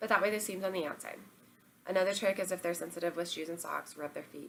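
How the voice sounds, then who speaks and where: Very fast and with vocal fry, a woman speaks at a fairly low pitch. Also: fairly even intonation. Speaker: parenting vlogger. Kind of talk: casual tips monologue. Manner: casual, filler-heavy.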